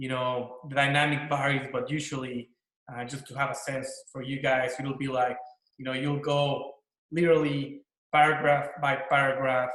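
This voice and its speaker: With a Mexican accent, a man talks at a fairly high pitch in a monotone, flat way. Room echo is audible. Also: moderate pace. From Mexico. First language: Spanish. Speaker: corporate lawyer. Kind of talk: panel discussion.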